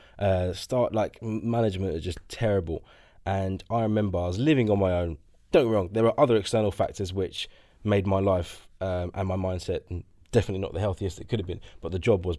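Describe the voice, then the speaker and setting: A man talks at a very fast pace in a fairly low pitch with fairly even intonation. His tone is dark and mellow, and the recording is very clean with a silent background. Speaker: co-host. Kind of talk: casual interview chat.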